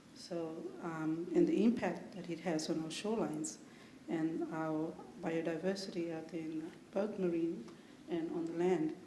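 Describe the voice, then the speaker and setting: Amid noticeable background noise and audible room echo, a woman with a fairly low pitch talks at a moderate pace with fairly even intonation and long, frequent pauses. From Torres Strait Islands, Australia. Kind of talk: panel discussion. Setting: conference panel.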